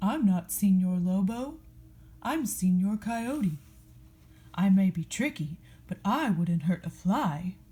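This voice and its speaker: A woman does a put-on character voice at a medium pitch. She moves at a fairly slow pace, with long, frequent pauses. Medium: read story. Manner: sly, wheedling.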